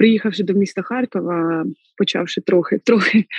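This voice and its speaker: A woman's medium-pitched voice shows ordinary pitch variation, recorded dry and close with no echo. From central Ukraine, Kirovohrad region. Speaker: lawyer turned soldier. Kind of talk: interview.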